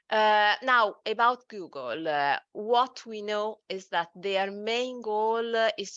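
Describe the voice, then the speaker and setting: A woman speaks with an Italian accent at a medium pitch and a fairly slow pace. The background is quiet. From Italy. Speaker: SEO agency director. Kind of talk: webinar presentation.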